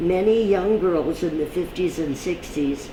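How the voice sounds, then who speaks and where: Noticeable background noise lies beneath a woman's fairly low voice with ordinary pitch variation. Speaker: television host. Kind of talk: reading old press clippings aloud.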